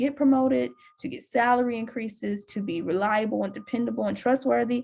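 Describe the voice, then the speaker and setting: Her voice fairly high and somewhat breathy, a woman speaks at a fairly quick pace. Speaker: university career advisor. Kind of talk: presentation. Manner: fast.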